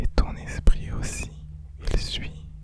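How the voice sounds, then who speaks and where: Whispering at a very slow pace in a soothing tone, the voice comes through noticeable background noise. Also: man. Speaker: guided relaxation / ASMR hypnosis guide. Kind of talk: guided sleep relaxation. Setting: studio, with binaural tones in background. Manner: soft-spoken, slow, soothing; whispered.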